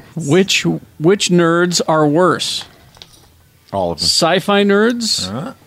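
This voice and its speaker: A man at a very slow pace, with long, frequent pauses, big swings in loudness and noticeable background noise. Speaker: podcast host. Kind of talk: casual chat.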